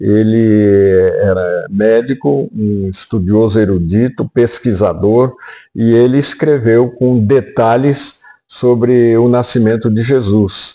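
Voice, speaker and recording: Very slowly and at very even loudness, a man speaks in a dark, mellow tone at a medium pitch with ordinary pitch variation. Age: 80s+. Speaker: retired pastor. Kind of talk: sermon; interview. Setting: at his home.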